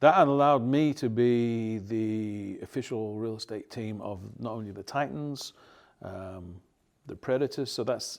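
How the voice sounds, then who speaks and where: In a very clean recording with a silent background, a man with an English accent speaks fairly slowly, his loudness swinging widely. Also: medium pitch for a man, ordinary pitch variation. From England. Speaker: real estate team leader. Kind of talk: interview. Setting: studio.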